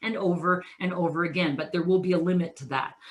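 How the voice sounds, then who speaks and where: A woman speaks in a bright, sharp tone. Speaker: keynote speaker. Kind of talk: motivational presentation. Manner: fast.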